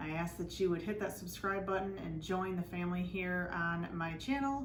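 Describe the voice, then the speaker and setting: A woman with a fairly low pitch speaks at a moderate pace, her pitch varying in an ordinary way. Audible room echo and noticeable background noise fill the recording. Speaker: DIY channel host. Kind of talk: tutorial. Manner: casual, conversational with fillers.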